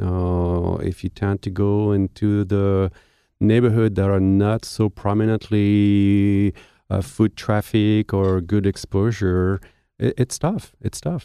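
A man with a French accent speaks at a very slow pace and a fairly low pitch, his tone dark and mellow and his intonation monotone and flat. The sound is dry and close with no echo, over a quiet background. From France. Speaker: baker and bakery owner. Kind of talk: interview. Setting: studio.

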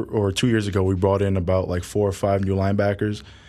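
This man talks at a very fast pace. His voice sits fairly low. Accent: New York. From New York City, Harlem. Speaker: college football player. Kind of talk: interview.

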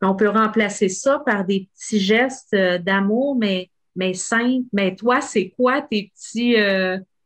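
A woman speaks very slowly in a fairly high pitch, with ordinary pitch variation and very even loudness. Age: 40s. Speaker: podcast host. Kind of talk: casual interview.

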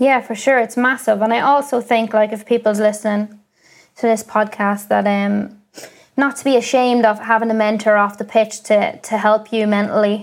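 A woman speaks in an Ulster accent with a monotone, flat intonation. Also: fairly high pitch for a woman, moderate pace. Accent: Irish (Cavan). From Ireland, County Cavan. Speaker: professional footballer. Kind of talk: interview.

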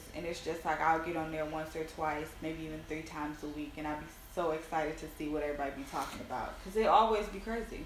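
Talking at a very fast pace with hardly any pauses, a woman with a very deep, low pitch and ordinary pitch variation is heard over noticeable background noise and audible room echo. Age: 30s. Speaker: podcast co-host. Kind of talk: casual chat.

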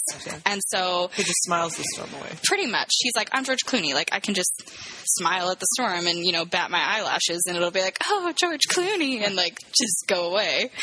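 A woman talks at a fairly quick pace and medium pitch, with ordinary pitch variation. Noticeable background noise is audible behind her. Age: 20s. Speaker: podcast co-host. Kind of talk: casual chat.

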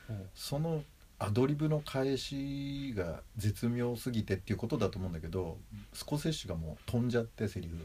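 A man speaks at a moderate pace with a somewhat breathy, medium-pitched voice. His intonation is lively. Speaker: film enthusiast co-host. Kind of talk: casual chat.

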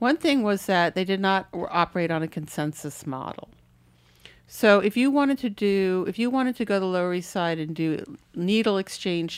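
A woman with a plain, everyday voice speaks at a moderate pace and a medium pitch, her intonation lively, on a very clean recording with a silent background. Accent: American. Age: 50s. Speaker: author and writing professor. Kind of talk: casual chat.

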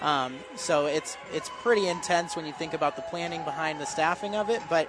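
Crowd noise fills the background as a man speaks. His tone is upbeat and his pace fairly quick. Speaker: restaurant employee. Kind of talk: on-air interview. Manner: upbeat, many um fillers.

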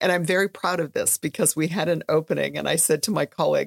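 Speaking at a very fast pace with an American accent, a woman comes through in a dry, close sound with no echo. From Minnesota, Red Lake. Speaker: history professor. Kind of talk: interview conversation.

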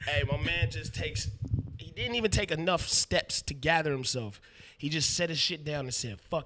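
A man with an American accent speaks at a fairly high pitch in a bright, sharp tone with vocal fry, very wide pitch swings and big swings in loudness. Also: moderate pace. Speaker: rapper. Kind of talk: casual chat. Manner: joking, laid-back.

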